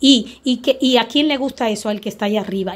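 The woman speaks at a fairly quick pace, somewhat breathy. Her intonation stays fairly even. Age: 40s. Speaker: spiritual guide. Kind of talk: spiritual teaching video.

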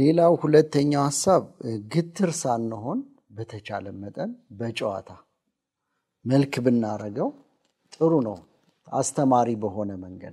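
Against a quiet background, a man's voice has a dark, mellow tone and big swings in loudness. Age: 40s. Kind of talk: religious family teaching talk. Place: studio. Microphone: lapel.

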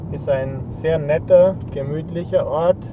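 Against noticeable background noise, a man with a fairly high pitch and lively intonation speaks at a very slow pace, in a dry sound with no echo. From Franconia; Germany. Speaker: travel vlogger. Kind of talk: driving tour narration; casual commentary. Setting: in a car. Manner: casual, unscripted. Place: car.

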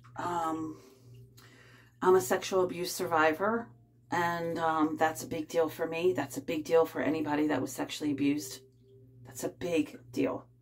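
Pausing long and often, a woman with a very deep, low pitch talks at a moderate pace with ordinary pitch variation. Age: 50s. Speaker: vlogger. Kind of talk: casual chat. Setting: bathtub at home. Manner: rambling, halting. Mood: calm, personal, confiding. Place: bathroom. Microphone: phone near.

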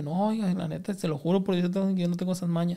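Speaking very fast with a northern Mexican accent, a man uses a high-pitched, dark and mellow voice over a quiet background. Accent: northern Mexican (Sinaloa). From Culiacán, Sinaloa, Mexico; Sinaloa, Mexico. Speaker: comedian; podcast guest. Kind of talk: casual chat. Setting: studio. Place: studio. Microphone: studio mic.

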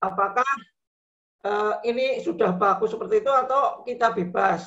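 A man speaks at a moderate speed, and the background is quiet. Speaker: vocational teacher trainee. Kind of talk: question in online class. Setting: video call. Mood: polite inquiring. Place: home room. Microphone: video call.

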